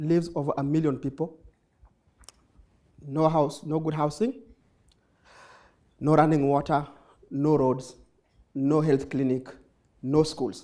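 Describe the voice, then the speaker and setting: With a dark, mellow tone and fairly even intonation, a man speaks at a fairly high pitch, leaving long, frequent pauses. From Kenya, Nairobi (Kibera). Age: 20s. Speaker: nonprofit founder, social entrepreneur. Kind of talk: conference talk. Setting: stage with audience. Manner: fast.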